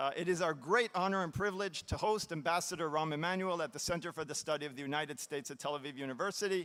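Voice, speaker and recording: A man speaks at a very fast pace in a fairly high pitch. His tone is bright and sharp, with ordinary pitch variation. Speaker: event moderator at university center. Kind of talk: formal introduction speech. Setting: auditorium with audience, mic being fixed.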